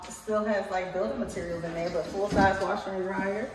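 A woman at a medium pitch talks at a moderate pace, with noticeable background noise and audible room echo. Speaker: owner showing her renovated rental unit. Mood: excited and proud. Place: home room. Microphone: phone near.

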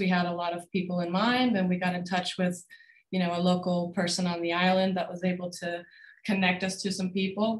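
A woman at a medium pitch speaks with monotone, flat intonation and a somewhat breathy voice. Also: quiet background. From Denmark. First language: Danish. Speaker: film director. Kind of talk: Q&A discussion. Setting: video call. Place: home room. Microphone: webcam.

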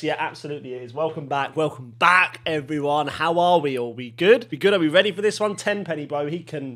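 The pitch of a man's voice varies in an ordinary way. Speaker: gaming youtuber. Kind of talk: casual vlog chat. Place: home room. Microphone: studio mic.

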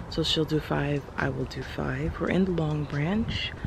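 Noticeable background noise sits under this recording. A woman speaks at a moderate pace. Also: dry sound with no echo. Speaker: makeup artist vlogger. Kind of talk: casual vlog chat. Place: street. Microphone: phone near.

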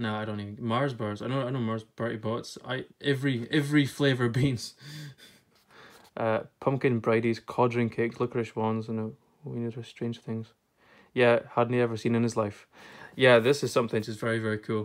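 On a very clean recording with a silent background, a man with a Scottish accent talks at a moderate pace and medium pitch in a monotone, flat way. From Scotland. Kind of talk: casual talk to camera.

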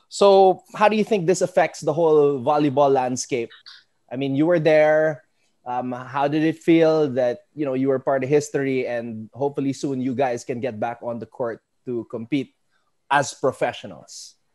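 A man with a Filipino accent, a dark, mellow tone and fairly high pitch, ordinary pitch variation, a moderate pace and a quiet background. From Philippines. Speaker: sports podcast host. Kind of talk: casual interview. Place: home room. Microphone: earbuds.

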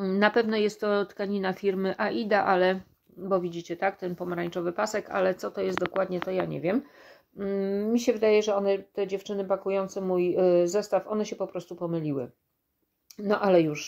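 At a fairly quick pace, a woman talks with fairly even intonation. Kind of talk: casual vlog chat. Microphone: phone near.

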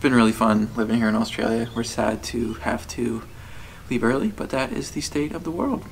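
Over light background noise, a man speaks at a fairly quick pace with ordinary pitch variation. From USA. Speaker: travel vlogger. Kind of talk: casual chat. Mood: relaxed, friendly. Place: home room. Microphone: phone near.

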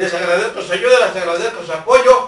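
The voice is raised and projected at a fairly quick pace. Audible room echo fills the recording. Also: man. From Mexico. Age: 60s. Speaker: local news vlogger. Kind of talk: direct-to-camera public appeal. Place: home room. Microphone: camera far.

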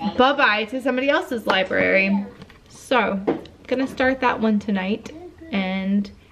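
Noticeable background noise accompanies a woman who talks at a fairly slow tempo. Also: ordinary pitch variation. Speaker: book vlogger. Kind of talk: casual vlog chat. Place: home room. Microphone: phone near.

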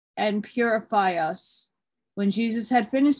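The delivery is very slow, with ordinary pitch variation. The background is quiet. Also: woman. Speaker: reader of an old text. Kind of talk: reading aloud. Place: home room. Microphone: phone near.

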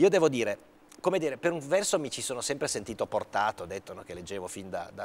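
Very wide pitch swings mark this man's very fast speech, heard over light background noise. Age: 50s. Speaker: senator. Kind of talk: TV interview. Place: studio. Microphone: lapel.

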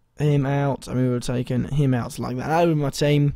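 The man's voice has a dark, mellow tone and fairly even intonation.

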